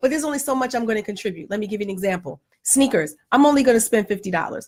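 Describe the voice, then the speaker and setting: A woman speaks very fast at a fairly high pitch with lively intonation. Her voice is somewhat breathy. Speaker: vlogger, parent. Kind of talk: casual chat.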